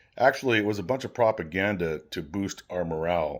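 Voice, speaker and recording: A man with a fairly low voice, an ordinary speaking voice in an American accent, with ordinary pitch variation. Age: 60s. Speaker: army veteran. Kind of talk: reading aloud from an old personal journal.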